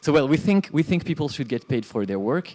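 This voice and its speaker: A man's dark, mellow tone at a fairly quick pace. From France. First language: French. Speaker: conference speaker, game developer and hardware entrepreneur; conference speaker. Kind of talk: conference talk. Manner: halting. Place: classroom.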